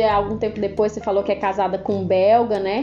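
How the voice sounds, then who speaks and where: Noticeable background noise runs under the recording. A woman talks at a fairly quick pace. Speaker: podcast host. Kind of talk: interview.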